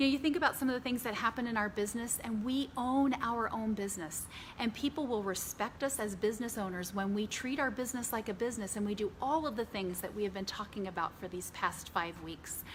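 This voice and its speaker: A woman talks at a very fast pace with hardly any pauses, in a fairly high pitch with ordinary pitch variation and an animated tone. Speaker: business trainer. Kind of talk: training talk.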